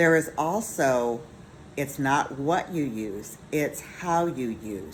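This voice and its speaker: A woman's very deep, low voice at a very slow pace, with lively intonation and audible room echo. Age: 50s. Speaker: skincare business owner. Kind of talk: sales pitch.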